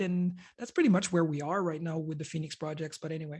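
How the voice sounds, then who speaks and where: A woman with a French Canadian accent and fairly even intonation. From Quebec, Canada. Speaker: computer hardware designer. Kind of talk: conference presentation. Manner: halting, many fillers.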